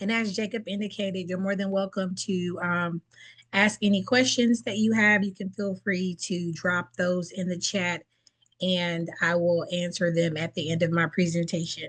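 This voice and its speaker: A woman's medium-pitched, somewhat breathy voice at a moderate pace, with fairly even intonation. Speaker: presenter, federal employee. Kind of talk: webinar presentation. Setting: online webinar.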